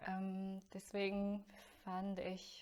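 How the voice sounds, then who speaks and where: This woman speaks with a Chinese accent. Her pitch is medium. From China. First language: Chinese (speaking German). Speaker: voice student. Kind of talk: interview. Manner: slow.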